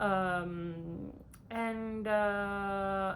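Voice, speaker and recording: Speaking with an Italian accent, a woman uses a medium pitch and ordinary pitch variation. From Italy. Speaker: PhD student, vlogger. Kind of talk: casual vlog talk to camera. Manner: halting, many fillers.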